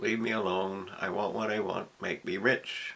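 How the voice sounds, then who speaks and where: A man speaks slowly, at a fairly low pitch. His intonation is fairly even, and there is noticeable background noise. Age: 70s. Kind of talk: casual monologue to camera. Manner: rambling, hesitant.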